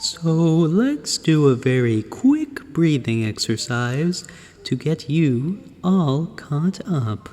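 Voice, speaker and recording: With music playing in the background, a man speaks very slowly with lively intonation. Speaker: radio host. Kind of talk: guided breathing exercise.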